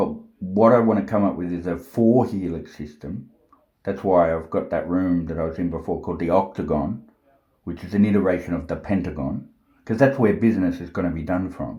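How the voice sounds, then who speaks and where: This man has a very deep, low voice with a dark, mellow tone and is somewhat breathy. He speaks at a fairly quick pace with ordinary pitch variation in an Australian accent. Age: 40s. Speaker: self-styled prophet vlogger. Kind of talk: rambling monologue. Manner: agitated, forceful.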